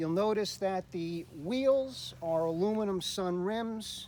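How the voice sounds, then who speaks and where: Speaking very slowly, a man uses a high pitch with ordinary pitch variation. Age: 60s. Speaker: motorcycle owner selling his bike. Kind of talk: casual walkaround video description. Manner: hesitant, with fillers.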